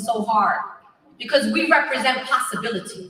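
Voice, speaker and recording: With an American accent, a woman uses a raised, projected voice at a moderate pace amid audible room echo and noticeable background noise. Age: 40s. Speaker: activist. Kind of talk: rally speech. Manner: animated.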